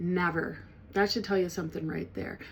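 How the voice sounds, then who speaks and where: Her fairly low-pitched voice stays monotone and flat as the woman speaks. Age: 60s. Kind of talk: personal testimony. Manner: halting, with many fillers and restarts.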